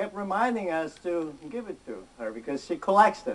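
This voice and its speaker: The speaker goes at a fairly slow pace, with very wide pitch swings. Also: man. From Philippines. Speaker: health practitioner and product presenter. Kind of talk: sales presentation.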